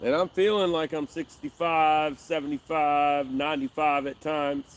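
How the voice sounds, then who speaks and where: Using a plain, everyday voice, a man speaks at a moderate pace with fairly high pitch and fairly even intonation. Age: 40s. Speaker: fishing livestreamer. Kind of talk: casual live stream chat. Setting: outdoors by a river.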